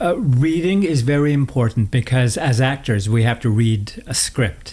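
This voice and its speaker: Lively in intonation, a man talks at a fairly slow pace. His pitch sits fairly high. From northern Manitoba, Canada (Cree reserve). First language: Cree. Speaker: actor. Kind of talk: interview conversation. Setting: home studio.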